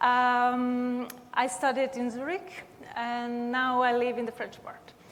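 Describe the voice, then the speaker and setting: A woman with a high-pitched voice and an Italian-Swiss accent talks at a very slow pace with fairly even intonation, and room echo is audible. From Italian-speaking Switzerland. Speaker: university tech transfer head, panelist. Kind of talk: panel discussion.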